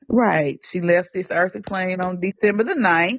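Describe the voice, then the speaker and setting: In a Southern US accent, the voice proceeds at a moderate pace. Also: woman. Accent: Southern, country. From Tennessee, US South. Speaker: podcast co-host. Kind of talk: casual chat.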